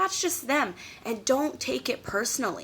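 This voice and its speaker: Loud and animated, the voice has a bright, sharp tone, very wide pitch swings and a moderate pace. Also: woman. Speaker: YouTube vlogger. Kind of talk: casual advice vlog.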